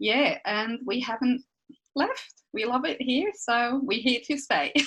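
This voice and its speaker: With lively intonation, a woman speaks at a very slow pace in a high voice. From Switzerland. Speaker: podcast co-host. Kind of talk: casual chat.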